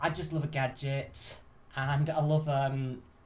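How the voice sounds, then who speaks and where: A man's somewhat breathy, fairly high-pitched voice with audible room echo. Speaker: crafting YouTuber. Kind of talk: product overview video.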